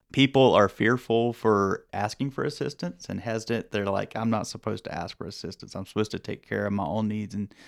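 Speaking at a fairly quick pace and a fairly low pitch with ordinary pitch variation, a man with a Southern US accent comes through in a very clean recording with a silent background. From rural North Carolina. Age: young. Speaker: public health professor. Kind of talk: podcast interview. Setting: studio.

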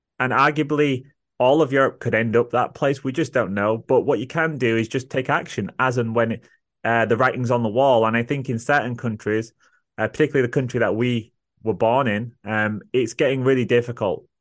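A man talks at a fairly quick pace in an English accent. The background is quiet. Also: medium pitch for a man, fairly even intonation. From England. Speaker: podcast host. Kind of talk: casual chat; scripted intro.

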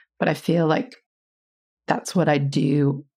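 A woman speaks with an American accent. Her pitch is very deep and low. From US Midwest, Iowa. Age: 40s. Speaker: design firm co-founder. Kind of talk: interview conversation.

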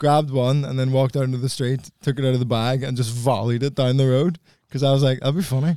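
A man with a Belfast accent talks at a very fast pace. His medium-pitched voice has a dark, mellow tone and fairly even intonation. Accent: posh Belfast (Northern Irish). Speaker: comedian. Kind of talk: casual banter.

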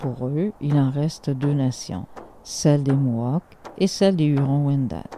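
A woman with a Quebec accent speaks at a fairly slow pace, her very deep, low pitch varying in an ordinary way. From Lower North Shore, Quebec. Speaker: storyteller and Inuit historian. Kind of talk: storytelling.

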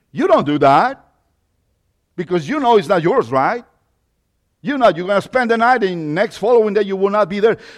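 With a Mexican accent, a man speaks at a high pitch and a moderate pace with lively intonation and long, frequent pauses against a quiet background. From Mexico. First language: Spanish. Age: 50s. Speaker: lay preacher. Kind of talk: sermon. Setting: church.

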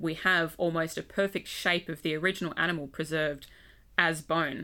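Speaking with an Australian accent, a woman has a fairly low pitch and a bright, sharp tone. The recording is very clean, with a silent background. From Western Australia. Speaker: museum curator, paleontologist. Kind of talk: casual chat. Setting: studio at a university.

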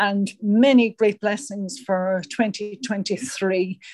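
A woman with an Irish accent speaks at a fairly high pitch with fairly even intonation, her voice dry and close with no echo. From Ireland.

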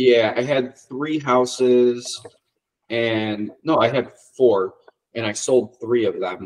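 Speaking very slowly with an American accent, a man keeps a medium pitch and fairly even intonation. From Ohio, US Midwest. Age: 30s. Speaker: auto body and dent repair shop owner. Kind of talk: casual interview chat.

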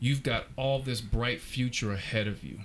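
On a very clean recording with a silent background, a man at a medium pitch speaks at a fairly slow pace. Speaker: podcast host, former college basketball player. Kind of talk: casual interview. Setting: in person. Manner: animated.

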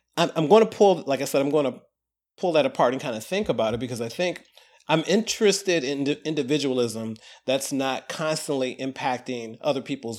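Speaking in a normal speaking voice, a man with a fairly high pitch uses lively intonation. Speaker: archivist, consultant. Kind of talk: casual discussion. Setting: remote call.

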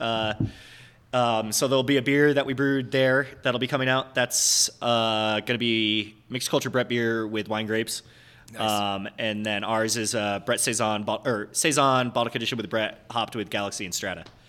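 Here is a man with an American accent. His medium-pitched voice has a bright, sharp tone. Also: moderate pace. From upstate New York. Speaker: head brewer. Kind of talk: casual interview chat. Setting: on location in a brewery.

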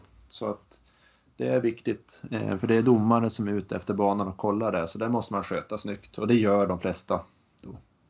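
In a plain, everyday voice, a man talks at a moderate pace with fairly low pitch and ordinary pitch variation against a quiet background. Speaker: triathlon podcast co-host, amateur athlete. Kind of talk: casual chat.

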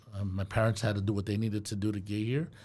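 Speaking at a very fast pace in an American accent, the voice has a dark, mellow tone and sounds somewhat breathy. The recording is very clean, with a silent background. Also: man. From Brooklyn, New York. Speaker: property management company owner. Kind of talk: casual chat.

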